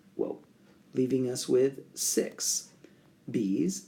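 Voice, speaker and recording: With a dark, mellow tone and lively intonation, a man at medium pitch speaks at a very slow pace. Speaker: math instructor. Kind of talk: tutorial.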